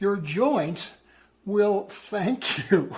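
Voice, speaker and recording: High pitch for a man, with ordinary pitch variation. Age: 80s. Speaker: senior cyclist, health channel host. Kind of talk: casual health advice talk to camera.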